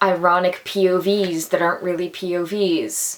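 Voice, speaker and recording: A woman speaks at a medium pitch amid noticeable background noise. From Atlantic Canada. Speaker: actor, theatre student. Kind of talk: casual talk to camera.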